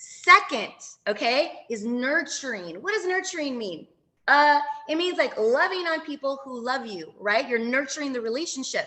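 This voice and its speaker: Raised and projected, a woman's high voice sounds bright, sharp and animated. Her pitch swings very widely and her loudness rises and falls sharply. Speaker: branding and social media coach. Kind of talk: training webinar. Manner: fast.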